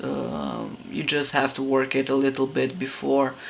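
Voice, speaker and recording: Over noticeable background noise, a man speaks with a Romanian accent. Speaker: hobby sculptor. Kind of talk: casual tutorial. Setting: home room. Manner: halting, many fillers.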